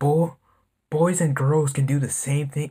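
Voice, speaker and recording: Somewhat breathy voice with fairly even intonation. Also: man. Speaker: reaction video host. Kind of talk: casual reaction commentary. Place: home room.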